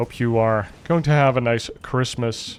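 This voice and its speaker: A man with a slight Dutch accent, medium in pitch. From Netherlands. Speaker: esports commentator. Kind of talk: casual chat; live commentary. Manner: animated.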